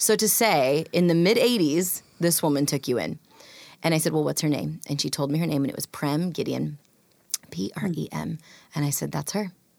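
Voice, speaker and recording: With an American accent, a woman speaks in a very deep, low voice at a moderate pace, using ordinary pitch variation and some vocal fry. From rural US, adopted from India as a toddler. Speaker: author and speaker. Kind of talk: interview.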